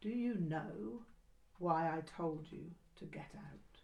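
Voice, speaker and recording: Someone speaks quietly in a put-on character voice at a middle pitch. The pace is very slow. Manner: quiet but stern.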